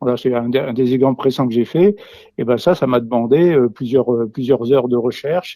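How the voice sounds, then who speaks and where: Man with a dark, mellow tone, fairly quick pace and ordinary pitch variation. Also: medium pitch for a man. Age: 70s. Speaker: retired teacher and naturalist. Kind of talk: interview. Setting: remote, not present with interviewer. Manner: halting, many fillers and repetitions.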